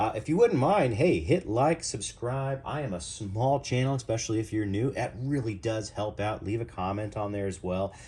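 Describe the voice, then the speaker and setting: Barely pausing, a man talks in a dark, mellow, somewhat breathy tone with lively intonation. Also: medium pitch for a man, moderate pace. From US Midwest. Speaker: knife reviewer. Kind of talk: product review. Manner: casual, chatty.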